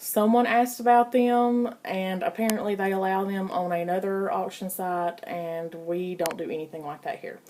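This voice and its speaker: A woman speaks at a moderate pace in a dark, mellow tone, her pitch varying in an ordinary way. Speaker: online auction group admin. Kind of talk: reading rules aloud with explanations. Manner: casual, conversational.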